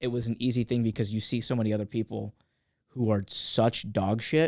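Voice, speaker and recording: Fairly quick and fairly even in intonation, a man of medium pitch with an American accent has a normal speaking voice, recorded dry and close with no echo. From California, Los Angeles County. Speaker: comedian. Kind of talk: casual chat.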